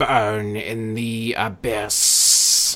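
A man puts on a robotic character voice. It sits at a medium pitch. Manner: menacing.

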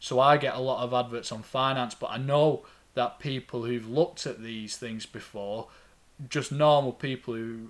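With a strong Lancashire accent, a man talks at a medium pitch with fairly even intonation. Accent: Lancastrian, thick. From Lancashire, England. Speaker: financial advisor, podcast host. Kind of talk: podcast monologue about finance. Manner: informal, conversational, slight hesitations.

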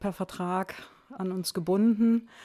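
A woman with a fairly low pitch and a dark, mellow tone speaks on a very clean recording against a silent background. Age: 60s. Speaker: trained teacher, school founder. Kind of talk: interview.

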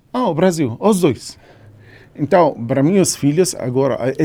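This man speaks with an Arabic accent. His tone is dark and mellow. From Syria. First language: Arabic (speaking Portuguese). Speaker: engineer turned home cook. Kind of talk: interview. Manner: hesitant, many fillers.

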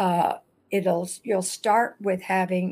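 A woman speaks at a very slow pace on a very clean recording with a silent background. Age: 80s. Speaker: retired patient and former patient coordinator. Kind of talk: live Q&A interview, telling personal story. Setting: live video stream.

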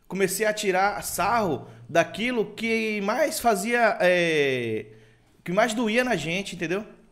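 Very slowly, a man speaks in a high voice. His intonation is lively. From Itabuna, Bahia, Brazil. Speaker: humor page creator and comedian. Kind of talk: casual interview chat.

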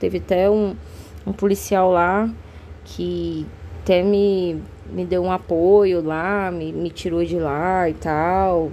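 A woman talks very slowly, stopping often for long pauses. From Brazil, Cuiabá, Mato Grosso. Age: 30s. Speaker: podcast host and artist. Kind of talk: casual monologue. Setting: home. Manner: hesitant, many fillers.

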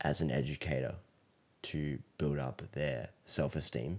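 A man speaks with an Australian accent and a very deep, low pitch. Vocal fry runs through his voice. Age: 20s. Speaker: elementary school teacher. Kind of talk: casual interview chat.

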